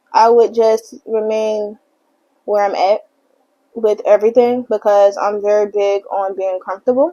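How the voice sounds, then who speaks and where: A woman's dark, mellow tone at a fairly high pitch, monotone and flat in intonation, at a fairly slow pace. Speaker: beauty vlogger. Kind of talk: casual chat. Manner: casual, filler words.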